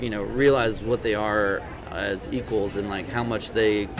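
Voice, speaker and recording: With an East Texas accent, a man speaks at a moderate pace with a fairly low, monotone, flat pitch amid noticeable background noise and audible room echo. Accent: thick East Texas. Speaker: country singer-songwriter. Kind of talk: interview. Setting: podcast interview in Tyler, Texas. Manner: halting, many fillers.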